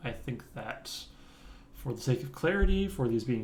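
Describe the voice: A man's medium-pitched voice with a dark, mellow tone, a moderate pace and audible room echo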